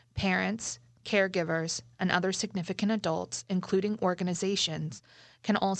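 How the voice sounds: The voice heard here reads in a natural way.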